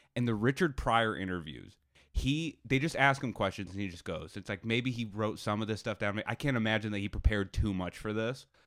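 In a very clean recording with a silent background, a man with a plain, everyday voice speaks fairly quickly at a fairly low pitch, using ordinary pitch variation. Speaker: podcast host. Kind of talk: casual chat.

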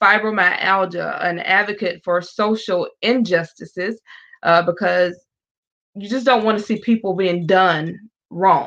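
In a South Carolina accent, a woman with a bright, sharp tone and medium pitch speaks at a fairly slow pace with fairly even intonation. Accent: Southern US (South Carolina). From US South. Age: 40s. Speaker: evangelist. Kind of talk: testimony. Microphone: echo on the line.

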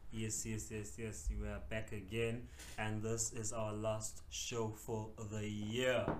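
Speaking very slowly, a man is heard with audible room echo. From South Africa. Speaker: podcast co-host. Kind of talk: casual chat.

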